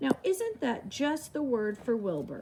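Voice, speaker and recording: A woman does a put-on character voice, high in pitch with very wide pitch swings. Clear background noise sits behind her. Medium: read story.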